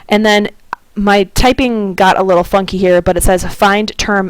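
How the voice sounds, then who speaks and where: The woman speaks at a medium pitch. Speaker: math teacher. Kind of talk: tutorial. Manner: slow.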